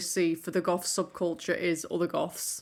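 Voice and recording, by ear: In a very clean recording with a silent background, a woman talks at a fairly low pitch.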